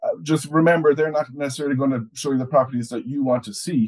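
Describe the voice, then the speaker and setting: A man with an Irish accent at a very fast pace, over a quiet background. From Ireland. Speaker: overseas property newsletter editor. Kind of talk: casual conversational podcast chat. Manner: halting, repeats words often. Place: home room. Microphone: video call.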